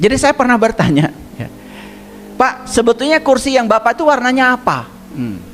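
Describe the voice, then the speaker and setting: At a fairly quick pace but with long, frequent pauses, a man speaks in an extremely high voice with ordinary pitch variation over noticeable background noise. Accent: West Javanese. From Garut, West Java, Indonesia. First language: Sundanese (speaking Indonesian). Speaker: religious teacher. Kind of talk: religious lecture. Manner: conversational, with frequent hmm fillers.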